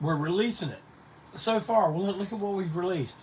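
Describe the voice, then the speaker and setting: A high male voice with audible room echo. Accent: Carolinas. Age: 60s. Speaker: punk band singer and live show host. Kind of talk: casual livestream chat. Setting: live Facebook stream. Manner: rambling, conversational.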